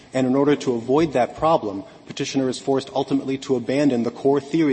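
Talking at a very fast pace with fairly even intonation, a man is heard over noticeable background noise. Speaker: government lawyer. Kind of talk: oral argument. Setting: courtroom. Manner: formal.

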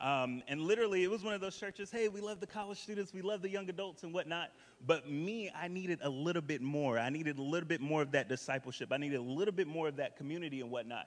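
Speaking fast with few pauses, a man with an American accent uses a fairly high pitch and ordinary pitch variation.

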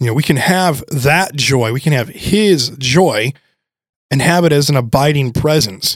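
With an American accent, a man in an unremarkable speaking voice talks at a fairly high pitch with ordinary pitch variation and very even loudness. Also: fairly slow pace. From Michigan, US (Thumb area). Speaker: pastor. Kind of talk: casual chat.

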